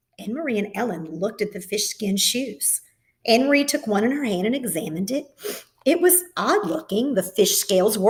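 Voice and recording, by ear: The background stays quiet while reading aloud in a natural voice goes on.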